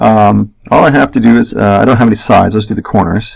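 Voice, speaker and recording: A man speaks at a moderate pace in a medium pitch, with ordinary pitch variation. His voice carries vocal fry. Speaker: math teacher. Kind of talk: tutorial. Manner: halting.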